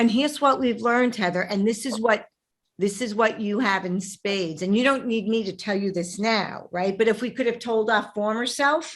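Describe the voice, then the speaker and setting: In a very clean recording with a silent background, someone with a Brooklyn accent talks at a moderate pace with ordinary pitch variation. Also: woman, fairly high pitch for a woman. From New York, Brooklyn. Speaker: podcast host, relationship coach. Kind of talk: interview conversation. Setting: podcast.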